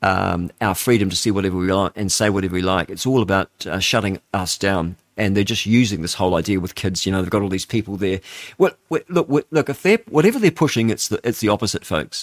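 Spoken at a very fast pace in a New Zealand accent with ordinary pitch variation, the clip has a very clean recording with a silent background and a dry, close sound with no echo. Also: man. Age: 60s. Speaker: radio host. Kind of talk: talk radio monologue.

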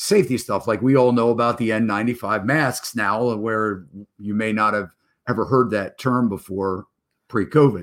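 A man with a normal speaking voice talks at a medium pitch and moderate pace. His intonation is fairly even, in a very clean recording with a silent background. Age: 50s. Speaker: real estate broker and show host. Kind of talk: live stream interview show. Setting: live stream.

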